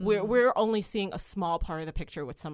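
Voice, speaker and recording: A normal speaking voice with lively intonation. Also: woman. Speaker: podcast guest.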